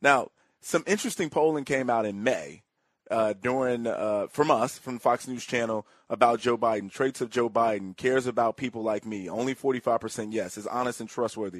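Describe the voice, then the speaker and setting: Speaking with an American accent, a man has an unremarkable speaking voice of medium pitch and ordinary pitch variation, moving at a moderate pace in a dry, close sound with no echo and a quiet background. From Chicago South Side. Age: 30s. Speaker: political commentator. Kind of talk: political talk interview.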